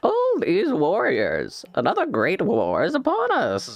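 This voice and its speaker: A man's raised, projected character voice, put on at an extremely high pitch and a fairly slow pace. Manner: cackling, dramatic.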